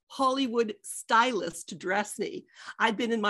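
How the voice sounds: The recording features a natural reading voice.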